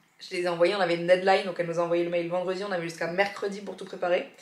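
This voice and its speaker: A woman's medium-pitched voice at a very fast pace amid noticeable background noise. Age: 30s. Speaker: podcaster and YouTuber. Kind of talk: vlog. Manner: casual, hesitant fillers.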